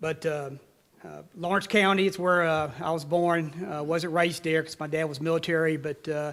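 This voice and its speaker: A man with a Tennessee accent, fairly high pitch, monotone, flat intonation and a moderate pace. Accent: Tennessee Southern. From Tennessee, US South. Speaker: city mayor. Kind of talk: public speech. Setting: conference center event with audience. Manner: halting, many fillers.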